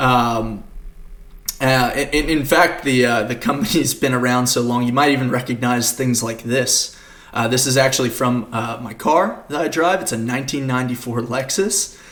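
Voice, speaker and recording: There is noticeable background noise and audible room echo. A man talks at medium pitch with ordinary pitch variation. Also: moderate pace. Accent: American. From Australia, Queensland. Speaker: developer advocate, conference speaker. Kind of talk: conference talk. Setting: recorded at home for virtual conference. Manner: many fillers (uh, um).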